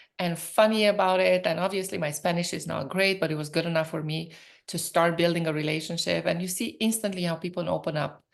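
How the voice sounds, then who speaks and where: The speaker has a Romanian accent. The pace is fairly quick. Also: woman. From Romania (Transylvania). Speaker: professor and entrepreneur. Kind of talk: interview conversation. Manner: animated.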